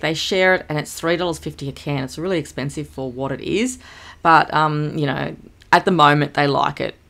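A woman's an ordinary speaking voice with ordinary pitch variation. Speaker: homemaker vlogger. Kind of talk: casual vlog chat. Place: home room.

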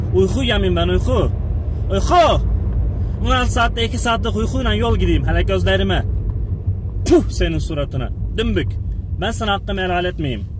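Over noticeable background noise, a man with a very deep, low voice makes very wide pitch swings at a moderate pace, the sound dry with no echo. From Gaziantep, Turkey. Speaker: truck driver. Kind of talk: complaining rant to friend on camera. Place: car. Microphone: phone near.

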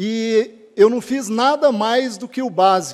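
A man's pitch varies in an ordinary way, with only quiet behind him. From Cascavel, Paraná, southern Brazil; Paraná. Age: 40s. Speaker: public administrator, honoree. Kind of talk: acceptance speech. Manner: halting, with fillers. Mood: grateful, earnest. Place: hall. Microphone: podium.

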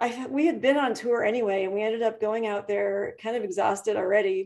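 Someone with an American accent talks at a moderate pace with ordinary pitch variation over a quiet background. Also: woman. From US Midwest, Chicago suburbs; Illinois. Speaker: rock singer and keyboardist; interview guest. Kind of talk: casual interview. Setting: video call. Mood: relaxed, friendly, smiling. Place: home room. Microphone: webcam.

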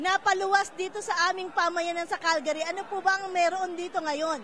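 Over noticeable background noise, a woman talks at a fairly quick pace with an extremely high pitch and fairly even intonation. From Philippines. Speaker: community TV interviewer. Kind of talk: event interview. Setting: indoor event venue. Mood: warm, festive. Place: hall. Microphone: handheld.

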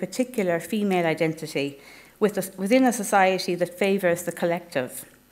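A woman speaks with a western Irish accent. Her pace is fairly quick and her pitch varies in an ordinary way. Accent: Irish (west of Ireland). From Ireland, Galway. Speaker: academic researcher. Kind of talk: conference presentation. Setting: conference hall with audience.

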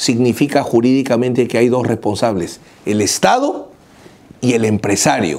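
A man's pitch varies in an ordinary way as he talks fairly slowly. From Peru. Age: 50s. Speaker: lawyer. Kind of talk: video commentary. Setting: office. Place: office. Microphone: lapel.

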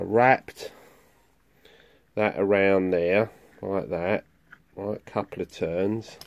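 Very slow delivery with fairly even intonation. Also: man. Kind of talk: tutorial. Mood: relaxed, light laughter. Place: garage. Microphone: phone near.

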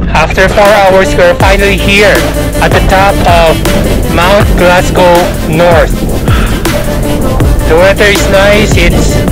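Over loud music in the background, a man talks at a very slow pace with long, frequent pauses. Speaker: hiker vlogger. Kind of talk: casual vlog chat. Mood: happy, laughing. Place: open country. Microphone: phone near.

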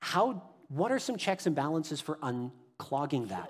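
A man talks fairly quickly, and the background stays quiet. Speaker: pastor. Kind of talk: sermon. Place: church.

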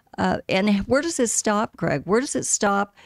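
Someone with an American accent speaks at a fairly slow pace, with lively intonation. The sound is dry with no echo over a quiet background. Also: woman. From Arizona, Scottsdale; Arizona. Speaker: city council candidate; council candidate. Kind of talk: interview. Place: studio. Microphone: studio mic.

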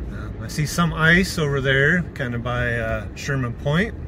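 The speaker has an American accent. Noticeable background noise runs through the clip. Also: man. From Oregon, US. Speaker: travel vlogger. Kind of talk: casual vlog narration while driving; casual vlog chat. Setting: in a car. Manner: relaxed, with frequent laughs and fillers. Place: car. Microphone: phone near.

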